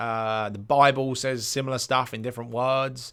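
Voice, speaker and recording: A man speaks with a British accent. The recording is very clean, with a silent background. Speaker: life coach podcaster. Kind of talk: solo podcast monologue. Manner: fast; casual, hesitant with fillers.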